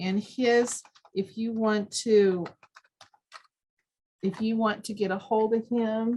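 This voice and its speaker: A woman talks very slowly in a fairly high, somewhat breathy voice with a dark, mellow tone. Her intonation stays flat and monotone, broken by long, frequent pauses. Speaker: extension educator and dietitian. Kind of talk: training presentation.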